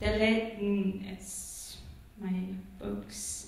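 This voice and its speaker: A woman talks with a Persian accent. Strong room echo fills the recording. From Iran. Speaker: poet. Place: hall.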